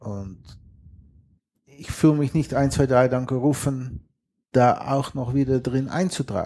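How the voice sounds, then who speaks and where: A man talks at a very slow pace with long, frequent pauses. His medium-pitched voice has a dark, mellow tone and ordinary pitch variation. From western Netherlands. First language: Dutch (speaking German). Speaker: geocacher and sailor. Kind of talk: casual interview.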